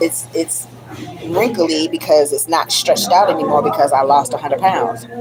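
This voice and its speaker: Her tone animated and her pitch swinging very widely, a woman talks over noticeable background noise. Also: fairly low pitch for a woman, moderate pace. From DMV area (Washington DC region), US. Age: 50s. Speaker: livestream vlogger. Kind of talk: casual livestream monologue.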